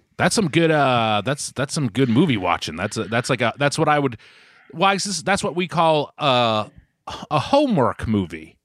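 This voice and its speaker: Very wide pitch swings and vocal fry mark this man's moderate-paced speech with an American accent, in a very clean recording with a silent background. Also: medium pitch for a man. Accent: Boston accent, mostly when yelling. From Boston area, US. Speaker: podcast co-host. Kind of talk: casual chat. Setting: at home with his mother nearby.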